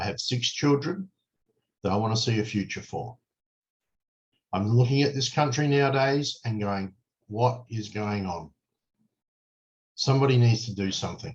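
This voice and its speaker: At a moderate pace with long, frequent pauses, a man with an Australian accent speaks in a somewhat breathy voice of medium pitch and ordinary pitch variation. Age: 60s. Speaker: political candidate. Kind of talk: campaign address to camera. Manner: earnest, emphatic.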